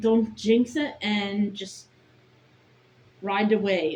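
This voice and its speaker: A woman speaks at a very slow pace in a fairly high, somewhat breathy voice. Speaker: vlogger. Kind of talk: casual monologue vlog. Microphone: bad audio, built-in mic.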